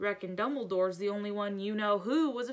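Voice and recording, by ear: Here is reading aloud in a natural voice. Pitch variation is ordinary.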